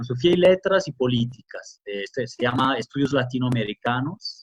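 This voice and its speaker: A man with a medium-pitched, somewhat breathy voice speaks with ordinary pitch variation. The sound is dry and close, with no echo. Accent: slight Italian. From Italy. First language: Italian (speaking Spanish). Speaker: academic and journalist. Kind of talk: interview. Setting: remote conversation.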